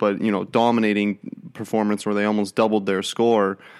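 Monotone, flat intonation defines this man's fairly low-pitched voice. He speaks at a fairly quick pace on a very clean recording with a silent background. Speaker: sports podcast co-host. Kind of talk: casual sports chat.

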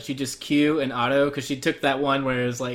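A man with a Southwestern US accent, talking at a fairly quick pace. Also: fairly bright tone. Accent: American Southwestern.

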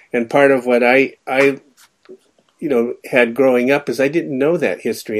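A man with an American accent and fairly even intonation at a moderate pace, in a very clean recording with a silent background. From California. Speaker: logician, philosophy professor. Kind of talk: radio interview. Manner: halting, many fillers.

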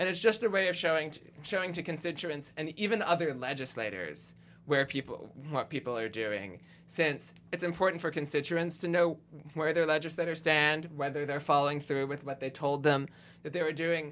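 On a very clean recording with a silent background, a man uses a normal speaking voice at fairly high pitch, moderate pace and ordinary pitch variation. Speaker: progressive activist volunteer. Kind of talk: podcast interview.

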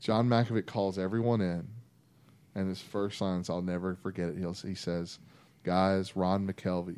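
A man with a Texan accent, very deep and low in pitch, dark and mellow in tone, at a moderate pace with fairly even intonation. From North Texas (Vernon, Mesquite near Dallas). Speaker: former college football player. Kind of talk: casual chat.

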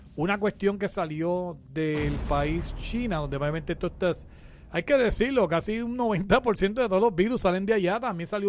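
His pitch moves in an ordinary way. The man keeps a moderate speed. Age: 40s. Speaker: radio and web show host. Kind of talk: casual talk show. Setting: studio. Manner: animated.

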